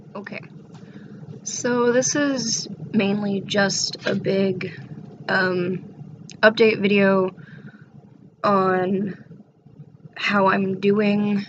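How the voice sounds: A woman does a put-on character voice, raspy and at medium pitch, with fairly even intonation. She speaks at a very slow pace and leaves long, frequent pauses.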